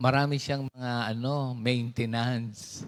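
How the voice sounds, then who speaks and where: A man's medium-pitched voice, very slow, with fairly even intonation. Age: 60s. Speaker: pastor. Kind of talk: sermon. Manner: halting.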